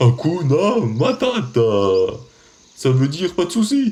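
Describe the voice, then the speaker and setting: A man's put-on character voice, high-pitched, fairly slow, with very wide pitch swings. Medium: fan dub. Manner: warm, bumbling.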